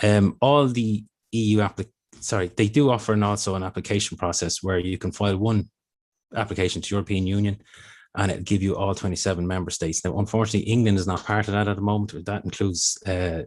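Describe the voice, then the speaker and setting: A man with an Irish accent speaks very fast. His intonation stays fairly even against a quiet background. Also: fairly low pitch for a man. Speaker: intellectual property office official. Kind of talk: presentation.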